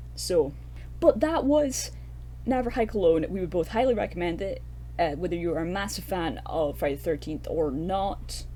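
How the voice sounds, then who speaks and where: A woman talks in a Scottish accent with audible room echo. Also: moderate pace. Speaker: horror film podcast co-host. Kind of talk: casual film review chat. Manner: animated.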